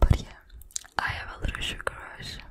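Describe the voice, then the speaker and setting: A woman speaks over loud background noise. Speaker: language teaching creator. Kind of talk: soft ASMR tutorial chat. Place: home room. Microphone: studio mic.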